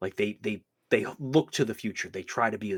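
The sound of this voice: Lively intonation runs through an unforced reading voice set against a quiet background.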